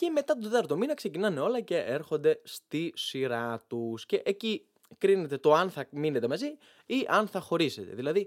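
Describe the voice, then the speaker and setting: Over a dry, close sound with no echo, a man's pitch swings very widely. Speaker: podcast host. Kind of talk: comedic monologue.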